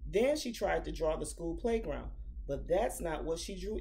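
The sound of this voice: Throughout, the speaker uses an unforced reading voice.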